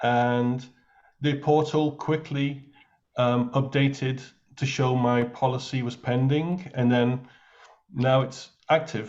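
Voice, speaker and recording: A man with an English accent at a very slow pace, medium in pitch, his intonation monotone and flat, with long, frequent pauses. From England. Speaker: new insurance agent. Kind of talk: casual chat.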